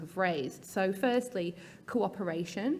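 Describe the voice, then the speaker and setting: In a British accent, a woman speaks at medium pitch and a moderate pace, with ordinary pitch variation and audible room echo. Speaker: patient advocacy research officer. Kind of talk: conference talk. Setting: stage with audience.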